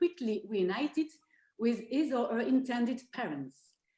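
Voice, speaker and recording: In a French accent, a woman speaks at a moderate pace with a high pitch, a dark, mellow tone, and lively intonation. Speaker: law professor. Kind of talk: academic presentation.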